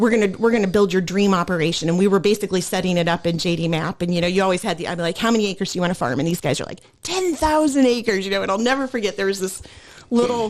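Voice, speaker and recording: A woman with a Midwestern American accent, medium pitch, lively intonation and a very fast pace. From US Midwest, Illinois. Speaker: former farm equipment technology trainer. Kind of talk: casual chat. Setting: podcast recording.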